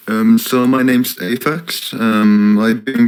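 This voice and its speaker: Ordinary pitch variation in a man's speech, with noticeable background noise. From Finland. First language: Finnish. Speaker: software developer. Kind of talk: casual chat. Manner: lively.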